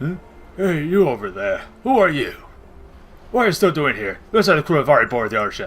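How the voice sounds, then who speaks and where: Putting on a character voice, a man speaks very fast at a fairly high pitch, his pitch swinging very widely, with long, frequent pauses. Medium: game stream. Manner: blunt, rude, contemptuous.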